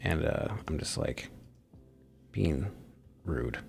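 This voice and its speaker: A quiet man's voice with very wide pitch swings, music in the background. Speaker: live streamer. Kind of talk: casual solo live stream monologue. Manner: quiet, holding back volume.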